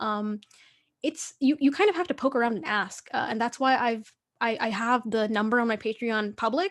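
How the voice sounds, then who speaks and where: A woman speaks in an unremarkable speaking voice with an American accent. Her fairly high voice has lively intonation at a moderate pace. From New York City, Queens. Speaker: illustrator. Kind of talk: artist talk Q&A. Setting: video call. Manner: casual, filler-heavy.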